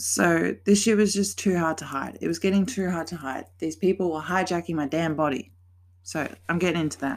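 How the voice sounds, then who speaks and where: At a fairly quick pace, a woman talks with vocal fry at a fairly low pitch and ordinary pitch variation. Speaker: podcaster and vlogger. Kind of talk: casual vlog monologue. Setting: bedroom. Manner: halting, stumbling.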